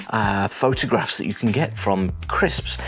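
Over clear background music, a man talks at a moderate pace with a fairly low pitch. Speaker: photography tutor. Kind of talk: tutorial. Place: home room. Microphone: lapel.

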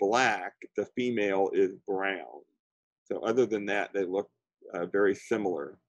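An ordinary speaking voice, a man with an American accent, fairly low in pitch, with ordinary pitch variation, a moderate pace and a dry sound with no echo against a quiet background. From Florida. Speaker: birding instructor. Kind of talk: lecture. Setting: video call. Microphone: webcam.

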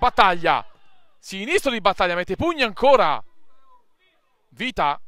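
A man's raised, projected voice, animated and lively in intonation, with a bright, sharp tone. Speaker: match commentator. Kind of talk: live football commentary, delivered like a stadium announcer. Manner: animated, punchy, with exclamations and short staccato phrases.

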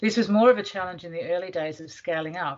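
A woman's fairly low voice at a very fast pace, with ordinary pitch variation

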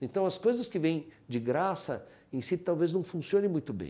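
This man's voice has a dark, mellow tone and vocal fry. His pitch swings very widely. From Brazil, São Paulo city. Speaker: orthopedic surgeon. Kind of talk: life-story testimony. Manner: halting, with frequent repetitions. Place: home room. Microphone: lapel.

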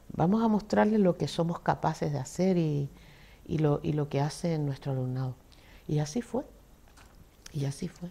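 Somewhat breathy and very deep in pitch, a woman talks at a moderate pace with lively intonation and long, frequent pauses. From Canary Islands, Telde (Gran Canaria); Canary Islands, Spain. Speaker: retired secondary school teacher and former head; retired secondary school teacher. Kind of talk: interview. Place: studio. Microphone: lapel.

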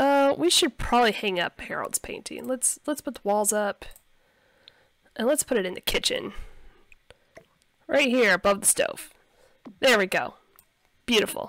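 A woman speaks at a fairly slow pace with long, frequent pauses, in a fairly high pitch. Her tone is fairly bright and her intonation lively.

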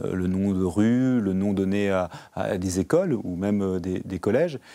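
A man speaks in a dark, mellow tone at a fairly low pitch. The background is quiet. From Normandy, France (Canteleu); Normandy, France. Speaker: member of parliament; guest. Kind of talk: TV interview. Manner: hesitant, many filler sounds. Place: studio. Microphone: lapel.

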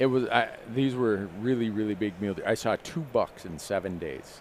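With an unremarkable speaking voice, a man talks at a fairly low pitch with ordinary pitch variation, the sound dry with no echo and light background noise present. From Minnesota, US Midwest. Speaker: hunting show host. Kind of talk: live panel discussion. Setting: trade show booth, live stream. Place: stage. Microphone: headset.

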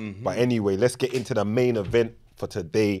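Over light background noise, a man talks at a fairly quick pace with a fairly low pitch and ordinary pitch variation. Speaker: podcast host. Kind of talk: casual podcast chat and guest introduction. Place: studio. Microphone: studio mic.

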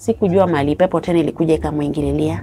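A woman talks at a very fast pace with a very deep, low pitch and lively intonation over light background noise. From Kenya, Homa Bay County (Luo); Kenya. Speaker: interview guest telling life story; interview guest. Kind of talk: personal testimony. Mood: sad, recounting hardship. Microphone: lapel.

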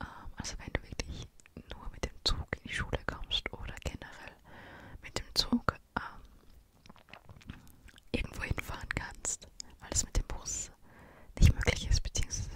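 A soft-spoken woman whispers at a moderate pace, with big swings in loudness and long, frequent pauses. Noticeable background noise runs underneath. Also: dry sound with no echo. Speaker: video creator. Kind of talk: casual vlog chat. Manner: soft close-mic whisper. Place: home room. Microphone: studio mic.

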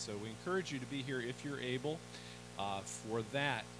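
A man's voice moves at a moderate pace while music plays behind it. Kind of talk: church announcements. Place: church.

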